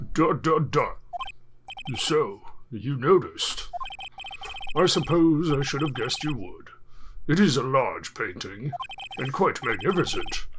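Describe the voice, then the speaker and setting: A man's put-on character voice, fairly high in pitch, at a fairly slow pace with long, frequent pauses, against clear background noise. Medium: actual play. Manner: old-fashioned, fussy, stammering.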